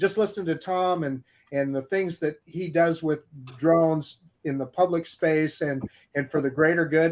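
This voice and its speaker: An ordinary speaking voice from a man, fairly high in pitch. He goes at a fairly slow pace with fairly even intonation. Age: 60s. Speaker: drone enthusiast. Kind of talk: casual chat.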